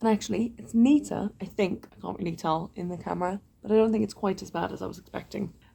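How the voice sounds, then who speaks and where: A woman's very fast speech with hardly any pauses, ordinary pitch variation and big swings in loudness. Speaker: vlogger. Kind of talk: casual vlog talk. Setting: hotel room.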